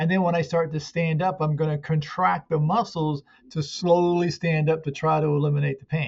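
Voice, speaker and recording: A man's ordinary speaking voice, fairly high in pitch, with fairly even intonation and a fairly quick pace. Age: 60s. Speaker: muscle pain therapist and coach. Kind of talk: interview.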